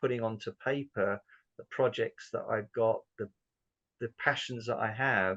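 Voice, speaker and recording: With a southern English accent, a man speaks at a fairly slow pace and medium pitch with ordinary pitch variation, in a dry, close sound with no echo. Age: 60s. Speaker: business owner. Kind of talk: interview testimony. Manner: hesitant, many fillers.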